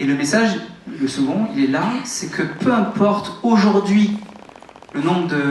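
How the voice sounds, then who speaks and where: Amid noticeable background noise and audible room echo, a man talks at a moderate pace with lively intonation. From France, Toulouse. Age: 30s. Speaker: network marketing motivational speaker. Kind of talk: motivational talk on stage. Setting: stage with audience. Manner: animated.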